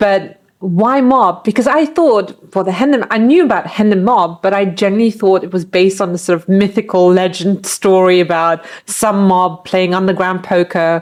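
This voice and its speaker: A woman speaks at medium pitch and a moderate pace with ordinary pitch variation. She hardly pauses at all. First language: not English. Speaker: guest co-host. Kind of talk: casual chat.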